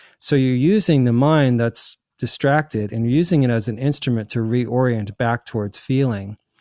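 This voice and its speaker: In an unremarkable speaking voice, a man with medium pitch and ordinary pitch variation talks at a moderate pace with hardly any pauses. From New Jersey. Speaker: psychic and spiritual author. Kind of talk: interview.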